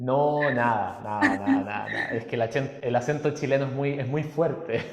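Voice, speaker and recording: A man talks with fairly even intonation. Audible room echo and noticeable background noise surround his voice. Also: fairly high pitch for a man, moderate pace. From Chile. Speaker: musician and personal development workshop leader. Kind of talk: podcast interview.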